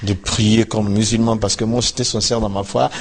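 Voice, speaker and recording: A man with a West African accent speaks in a monotone, flat intonation at a fairly low pitch, sounding somewhat breathy. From Ivory Coast. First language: Dioula (speaking French). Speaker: former imam turned pastor. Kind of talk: interview testimony.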